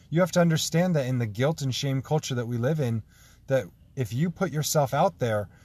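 On a very clean recording with a silent background, a man speaks at a medium pitch. His voice is somewhat breathy, with lively intonation. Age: 30s. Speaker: podcast host. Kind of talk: solo monologue.

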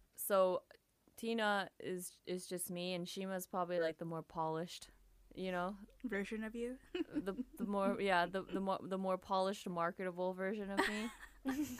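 A woman talks in a normal speaking voice at a medium pitch. Her pitch variation is ordinary and her pace moderate. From Japan (Tokyo), mixed Japanese-American. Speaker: singer and music producer. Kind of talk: casual interview chat.

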